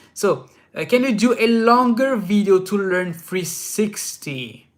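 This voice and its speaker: The speaker has a French accent. The recording is very clean with a silent background. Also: man. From France. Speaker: inline skating youtuber. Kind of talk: live stream Q&A. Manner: casual, many fillers and restarts.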